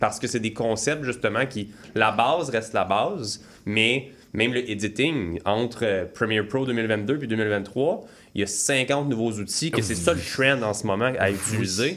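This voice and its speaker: A man speaks at a fairly slow pace in a medium pitch with ordinary pitch variation and an unremarkable speaking voice. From Quebec, Laurentians. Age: 20s. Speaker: entrepreneur. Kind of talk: interview.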